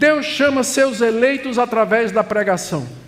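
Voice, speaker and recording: A man with an extremely high pitch talks at a fairly slow pace with ordinary pitch variation. There is audible room echo and noticeable background noise. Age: 70s. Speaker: pastor. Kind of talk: sermon. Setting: conference stage with audience.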